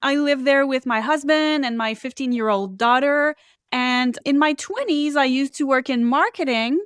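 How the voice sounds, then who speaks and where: A woman with a French Canadian accent, high pitch, moderate pace, ordinary pitch variation, and a dry, close sound with no echo. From Quebec, Canada. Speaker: psychic and Akashic Records reader. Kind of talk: interview.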